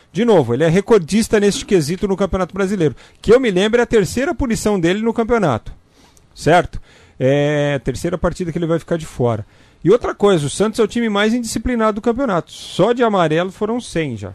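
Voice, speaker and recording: A man speaks at a very fast pace in a high voice with lively intonation, recorded with a dry, close sound and no echo. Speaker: sports radio co-host. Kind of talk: sports news commentary.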